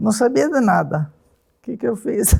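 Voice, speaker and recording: Here a woman speaks at a fairly slow pace. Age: 80s+. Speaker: senior hip hop dancer. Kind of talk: documentary interview.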